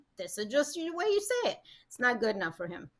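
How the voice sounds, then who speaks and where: A woman speaks with a Russian accent. Her pitch is high. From Russia, moved to US at 13. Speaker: matchmaker. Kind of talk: casual chat.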